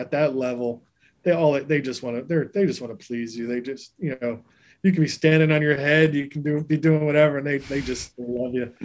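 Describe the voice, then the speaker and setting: This man has a plain, everyday voice. His pitch sits fairly high, with fairly even intonation. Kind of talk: casual interview. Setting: video call.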